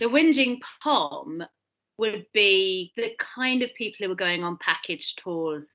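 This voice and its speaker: Speaking at a fairly slow pace, a woman with a British accent uses very wide pitch swings in a bright, sharp tone. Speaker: British interviewee on comedy. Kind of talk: casual chat.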